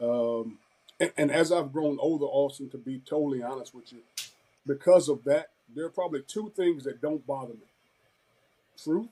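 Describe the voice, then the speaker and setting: Dark, mellow speech with a Southern US accent, a moderate pace, ordinary pitch variation and long, frequent pauses. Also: man, fairly high pitch for a man. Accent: Southern twang. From Florida. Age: 50s. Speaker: former football player and coach. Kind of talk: interview.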